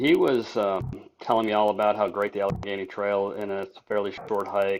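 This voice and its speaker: In an unremarkable speaking voice, a man with a fairly low pitch talks at a moderate pace. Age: 60s. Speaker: retired school teacher and thru-hiker. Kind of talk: casual interview.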